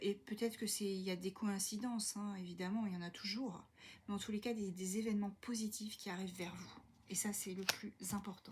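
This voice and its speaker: A soft-spoken woman talks at a medium pitch, somewhat breathy. Her intonation is monotone and flat. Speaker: tarot card reader. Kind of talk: tarot reading for viewers. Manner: hesitant, many fillers.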